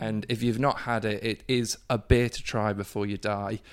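A man's voice on a very clean recording, silent background. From northeast England, Durham. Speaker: brewery co-owner and brewer. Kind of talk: casual interview. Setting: brewery office.

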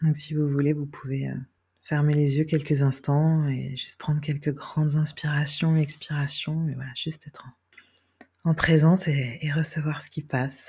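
A woman speaks in a very deep, low voice with a dark, mellow, somewhat breathy tone. Her delivery is fairly slow and flatly monotone. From Brittany, France (Carnac). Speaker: adoptee sharing her story. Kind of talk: guided meditation; testimony. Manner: hesitant, many fillers.

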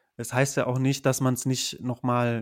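Medium in pitch, a man speaks with monotone, flat intonation. He keeps a moderate pace. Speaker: PhD researcher in geography. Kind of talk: casual interview.

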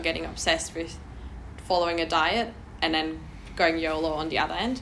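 Noticeable background noise and audible room echo surround a woman's voice. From Germany. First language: German. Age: 20s. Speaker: personal trainer. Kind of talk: casual chat.

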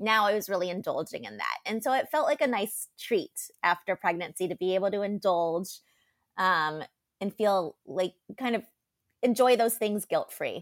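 A woman's ordinary speaking voice, medium in pitch, at a moderate pace with lively intonation. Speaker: podcast co-host, mental health counselor. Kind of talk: casual chat. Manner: laughs often.

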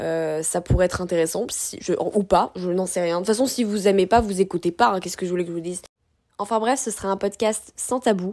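Speaking at a fairly quick pace, the woman has a medium pitch. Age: 20s. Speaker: podcast host and food content creator. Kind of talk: solo podcast monologue. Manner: animated.

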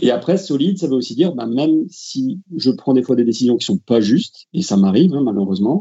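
This is a normal speaking voice from a man at a medium pitch. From France. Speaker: football referee. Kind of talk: interview.

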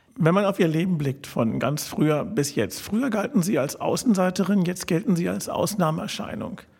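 A man with a high pitch speaks at a moderate pace with lively intonation. Noticeable background noise sits behind him. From Berlin (Charlottenburg). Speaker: podcast host. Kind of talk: interview. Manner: formal.

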